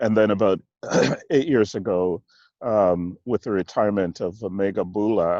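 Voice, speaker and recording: In a slight Jamaican accent, a man speaks at a moderate pace with a fairly low pitch and a dark, mellow tone, the sound dry and close with no echo. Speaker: church executive minister. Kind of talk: interview. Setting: video call from outdoors in a park. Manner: halting.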